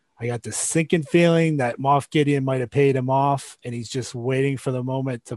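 With an unremarkable speaking voice, a man talks at a medium pitch and moderate pace, with fairly even intonation and hardly any pauses. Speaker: podcast host. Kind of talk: casual chat.

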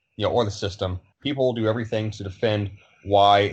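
The man's voice sits fairly low. It sounds somewhat breathy. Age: 30s. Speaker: fitness trainer and social media commentator. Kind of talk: casual chat.

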